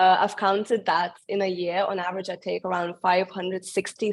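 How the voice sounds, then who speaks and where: This woman has a medium pitch and a monotone, flat intonation. She talks at a moderate pace. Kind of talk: webinar presentation. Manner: halting.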